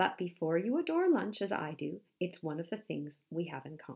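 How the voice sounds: Putting on a character voice, a woman speaks fairly low with big pitch swings, vocal fry, a slightly husky edge and a slightly mellow tone. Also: moderate pace.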